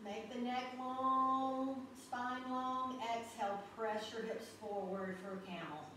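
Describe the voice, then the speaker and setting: A woman with a fairly high pitch and ordinary pitch variation speaks at a very slow pace with hardly any pauses. Strong room echo and light background noise fill the recording. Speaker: yoga instructor. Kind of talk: guided yoga class. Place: home room. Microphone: camera far.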